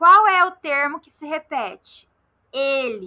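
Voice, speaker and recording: Using a raised, projected voice, a woman with a Mato Grosso do Sul accent speaks at a high pitch with a bright, sharp tone and very wide pitch swings. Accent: Campo Grande, Mato Grosso do Sul. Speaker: Portuguese grammar teacher. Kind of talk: lecture. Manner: didactic, step-by-step.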